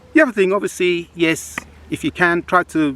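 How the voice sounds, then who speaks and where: With lively intonation, a man speaks at a fairly high pitch and a moderate pace. The sound is dry and close with no echo, though background noise is noticeable. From UK. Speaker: travel vlogger. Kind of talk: casual talk-to-camera travel advice. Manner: conversational with frequent repetitions and fillers.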